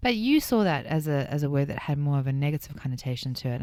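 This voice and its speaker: A woman's very deep, low-pitched voice with a South African accent at a very fast pace, on a very clean recording with a silent background. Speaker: radio host. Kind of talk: radio interview.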